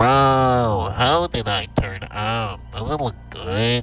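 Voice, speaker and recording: Clear music plays behind a man doing a put-on character voice. He speaks very slowly at a medium pitch, with ordinary pitch variation. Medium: machinima. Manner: casual, slangy.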